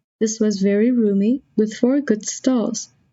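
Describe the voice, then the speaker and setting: A woman with a non-native accent talks at a fairly slow pace and a fairly high pitch, somewhat breathy. Her pitch variation is ordinary. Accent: American pronunciation, non-native speaker. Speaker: audiobook narrator. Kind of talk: audiobook reading for English learners.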